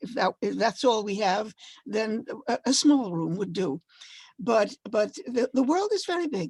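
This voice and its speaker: A woman with a fairly high, somewhat breathy voice speaks at a fairly slow pace with lively intonation, in a dry, close sound with no echo. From Dominican Republic. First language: Spanish. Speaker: poet and translator. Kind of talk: panel discussion.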